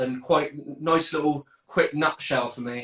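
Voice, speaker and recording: With a southern English accent, a man talks in fairly even intonation. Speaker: fitness coach, podcast host. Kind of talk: casual panel chat.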